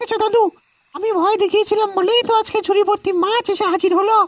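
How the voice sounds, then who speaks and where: This squeaky, cartoonish character voice sits at an extremely high pitch and moves at a moderate pace. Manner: brash, whiny.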